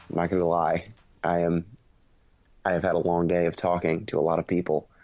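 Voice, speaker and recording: Against a quiet background, a man speaks in a very deep, low pitch with a dark, mellow tone. His intonation is flat and monotone, and his loudness stays very even. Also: fairly quick pace. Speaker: podcast host. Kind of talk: casual chat.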